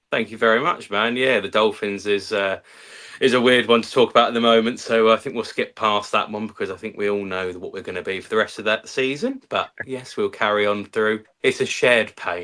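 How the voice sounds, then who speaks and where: In a London accent, the speaker talks at a fairly quick pace in a bright, sharp tone with fairly even intonation and big swings in loudness, on a very clean recording with a silent background. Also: man, medium pitch for a man. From West London. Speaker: content creator and football fan. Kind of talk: casual chat.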